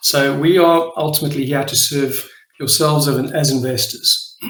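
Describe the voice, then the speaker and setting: Amid audible room echo, a man with a South African accent speaks in a fairly high pitch. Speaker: crypto project leader. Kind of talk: live AMA presentation. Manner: hesitant, many fillers.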